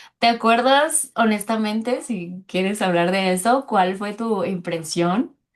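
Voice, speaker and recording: With a Mexican accent, a woman speaks at a very slow pace in a medium-pitched voice, with hardly any pauses. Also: ordinary pitch variation. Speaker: French teacher and podcast host. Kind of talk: casual interview.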